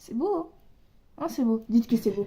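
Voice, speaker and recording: Her pitch high, a woman speaks with lively intonation. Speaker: beauty vlogger. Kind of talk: casual vlog tutorial. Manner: animated.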